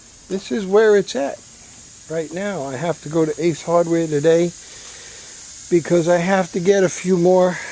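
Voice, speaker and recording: Someone speaks with a New York accent over noticeable background noise. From New York City (Bronx). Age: 60s. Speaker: hobbyist vlogger. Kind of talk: casual vlog talk. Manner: halting, many fillers.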